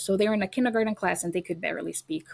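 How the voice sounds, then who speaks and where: This speaker has a Brazilian accent and uses ordinary pitch variation. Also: woman. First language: Portuguese. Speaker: educator and homeschooling parent. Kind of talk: podcast interview.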